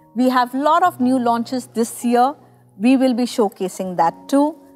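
This woman has a high-pitched voice and speaks at a fairly slow pace. Faint music plays in the background. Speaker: hair color educator. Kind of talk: tutorial. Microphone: lapel.

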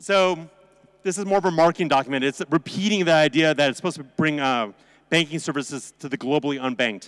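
Against a quiet background, a man speaks at a fairly high pitch with ordinary pitch variation. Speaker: conference presenter, crypto lawyer. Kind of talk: conference presentation. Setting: stage with audience. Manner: fast; animated. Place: hall. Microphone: handheld.

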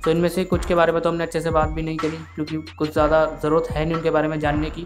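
Over music in the background, a man speaks at a high pitch. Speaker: tech tutorial creator. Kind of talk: screen-recording tutorial narration. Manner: lower energy than usual.

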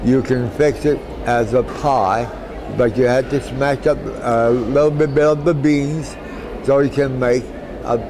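A man's speech, fairly slow and with ordinary pitch variation, is heard against noticeable background noise. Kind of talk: interview answer. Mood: warm, nostalgic. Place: hall.

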